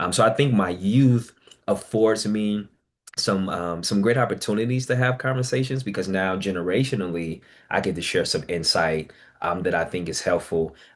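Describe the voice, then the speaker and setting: Over a quiet background, a man in an unremarkable speaking voice talks at a moderate pace and fairly low pitch with ordinary pitch variation. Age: young. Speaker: licensed counselor with lived caregiving experience. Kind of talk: Q&A in online peer session. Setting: video call.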